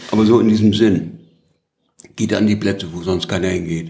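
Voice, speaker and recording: A man speaks at a fairly low pitch with vocal fry and fairly even intonation. Room echo is audible. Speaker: former journalist and politician. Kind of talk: interview. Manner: halting.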